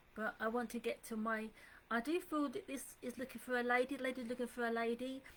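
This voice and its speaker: Speaking at a fairly quick pace with an English accent, a woman has a high pitch over noticeable background noise. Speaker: psychic medium. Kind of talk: live psychic reading. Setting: Facebook live stream from home computer. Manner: soft and calm; hesitant, many fillers.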